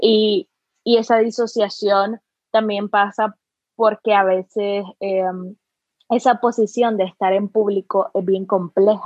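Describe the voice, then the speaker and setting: Very unhurried speech from a woman, pitched rather high, its intonation fairly level. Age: 20s. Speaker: artist. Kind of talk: casual chat.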